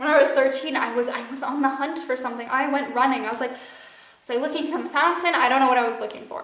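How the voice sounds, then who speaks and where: A woman with a Midwestern American accent talks very fast at a high pitch with ordinary pitch variation. Room echo is audible. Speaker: spiritual channeler and podcast host. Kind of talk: casual monologue. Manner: rambling with many fillers.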